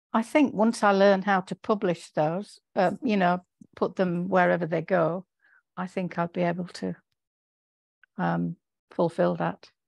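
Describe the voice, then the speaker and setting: A woman's fairly slow delivery with long, frequent pauses and ordinary pitch variation, in a dry, close sound with no echo. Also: medium pitch for a woman, quiet background. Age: 60s. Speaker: romance author participant. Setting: video call.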